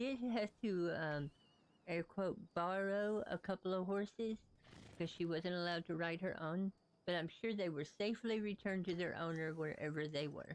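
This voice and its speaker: A woman at a moderate pace, with very even loudness and ordinary pitch variation. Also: fairly low pitch for a woman. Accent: Southern US. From US South. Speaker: video game streamer. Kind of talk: live gameplay stream commentary. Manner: casual, chatty.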